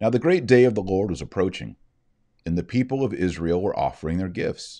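Speaking at a fairly quick pace, a man with a low pitch and a dark, mellow tone makes big pitch swings.

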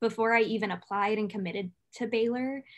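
Against a quiet background, a woman with a normal speaking voice talks at a fairly high pitch and fairly quick pace, her intonation fairly even. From California. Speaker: university student. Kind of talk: student testimony. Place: home room. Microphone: webcam.

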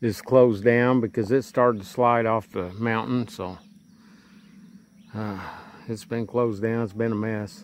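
The pace is fairly slow, with fairly even intonation. The sound is dry with no echo. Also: man. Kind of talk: casual vlog chat. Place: open country. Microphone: phone near.

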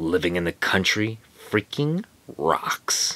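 A man puts on a cartoonish character voice with a very deep, low pitch. He speaks at a fairly slow pace. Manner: angry, exasperated, shouting.

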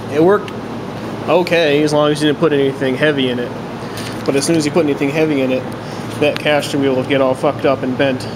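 Noticeable background noise surrounds a man who speaks at a very fast pace. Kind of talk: casual project walkthrough. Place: workshop.

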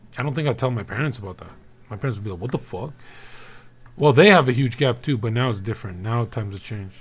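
A man talks at a very fast pace in a somewhat breathy voice. His pitch variation is ordinary. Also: big swings in loudness. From Albania. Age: 20s. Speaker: livestreamer. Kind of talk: casual chat. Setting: livestream with chat. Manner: animated. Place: home room. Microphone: studio mic.

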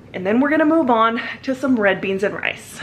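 Over light background noise, a woman's voice moves in very wide pitch swings. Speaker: family vlogger. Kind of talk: casual vlog chat. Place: garage. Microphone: phone near.

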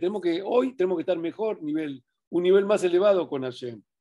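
A man's high-pitched voice with a Rioplatense accent, lively intonation and a dark, mellow tone, at a moderate pace against a quiet background. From Argentina. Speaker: religious teacher. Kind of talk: Torah study talk. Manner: halting. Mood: calm, warm, encouraging. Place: home room. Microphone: webcam.

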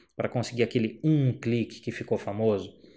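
A quiet background surrounds the speech. The voice has a dark, mellow tone. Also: man. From Brazil. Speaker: photographer and photography teacher; photography teacher. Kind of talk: educational vlog monologue. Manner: casual, conversational. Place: home room. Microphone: handheld.

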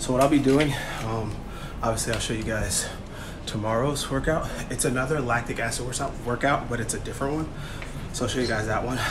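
A man speaks at a fairly quick pace, with noticeable background noise present. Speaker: fitness vlogger. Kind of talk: casual vlog chat. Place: gym. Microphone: phone near.

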